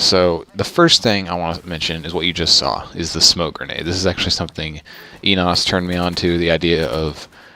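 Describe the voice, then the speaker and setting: A soft-spoken man's very deep, low voice with a bright, sharp tone, flat and monotone, at a fairly quick pace. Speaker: gaming youtuber. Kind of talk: gameplay commentary. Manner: hesitant, many ums.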